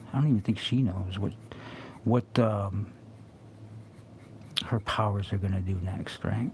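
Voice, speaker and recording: A man mumbles at a fairly low pitch with fairly even intonation. He leaves long, frequent pauses. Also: fairly slow pace. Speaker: comic artist streaming live drawing. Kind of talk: casual live-stream commentary while drawing. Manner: mumbling to himself; halting, many fillers.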